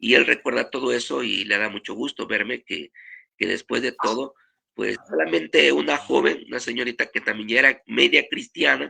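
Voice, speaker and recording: A man at a moderate pace, dry, close sound with no echo. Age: 60s. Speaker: pastor. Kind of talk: testimony.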